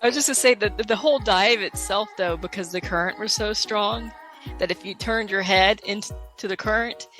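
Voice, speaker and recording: With music playing in the background, a woman talks at a moderate pace and medium pitch, her pitch varying in an ordinary way. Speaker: scuba diver. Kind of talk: podcast interview answer.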